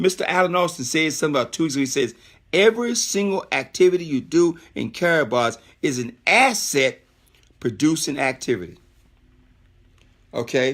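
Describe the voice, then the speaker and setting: A man with a fairly high pitch speaks in an animated tone at a moderate pace, his pitch swinging very widely. He leaves long, frequent pauses, and the recording is very clean with a silent background. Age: 60s. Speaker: network marketing presenter. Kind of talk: sales pitch. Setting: live stream.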